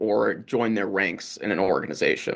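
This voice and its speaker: Over a quiet background, a man talks in a plain, everyday voice, fairly low in pitch, at a moderate pace. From US. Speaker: research fellow and moderator. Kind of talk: interview.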